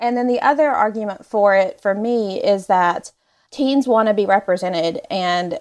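Here a woman with an American accent speaks in an ordinary speaking voice at medium pitch. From US South. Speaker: romance author. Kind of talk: casual interview chat.

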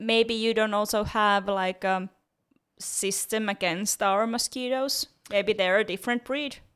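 A woman talks at a fairly high pitch with fairly even intonation, on a very clean recording with a silent background. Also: fairly slow pace. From Finland. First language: Finnish. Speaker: podcast co-host. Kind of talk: casual chat.

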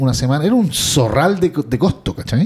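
A man talks with lively intonation. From Chile. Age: 40s. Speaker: podcast co-host. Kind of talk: casual chat.

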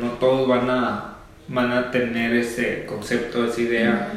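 Medium-pitched male speech amid noticeable background noise and audible room echo. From Sonora, Mexico (Obregón). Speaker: podcast host. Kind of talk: interview.

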